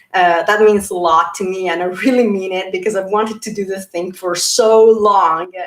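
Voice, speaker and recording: A woman talks at a moderate pace with hardly any pauses over noticeable background noise. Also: medium pitch for a woman, fairly even intonation. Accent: Italian. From Italy. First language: Italian. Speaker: YouTuber talking about personality types. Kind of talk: livestream talk. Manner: halting, with fillers and repeats.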